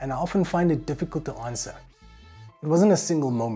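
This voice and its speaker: Music plays in the background as a man with a South African accent speaks with ordinary pitch variation. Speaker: voice actor; music producer. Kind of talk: casual talk to camera.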